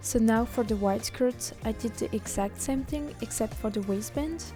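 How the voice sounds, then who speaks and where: Over music in the background, a woman speaks at a moderate pace with a French accent. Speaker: cosplayer. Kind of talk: sewing tutorial narration.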